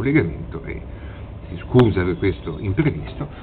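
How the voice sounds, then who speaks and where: A man talks at a moderate pace in a very deep, low pitch with very wide pitch swings. Noticeable background noise runs underneath. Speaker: TV prankster. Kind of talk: casual talk to camera.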